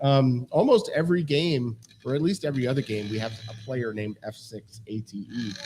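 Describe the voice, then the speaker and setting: Speaking at a fairly quick pace, a man with a medium pitch and ordinary pitch variation is heard over noticeable background noise. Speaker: quiz show host. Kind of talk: quiz show explanation of rules. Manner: casual, many fillers.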